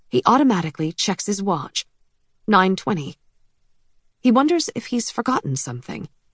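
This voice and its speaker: A woman talks at a medium pitch. The sound is dry and close with no echo, against a quiet background. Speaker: audiobook narrator. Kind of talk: dramatic thriller narration, reading aloud. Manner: suspenseful, tense, hushed, measured pacing; vivid, expressive.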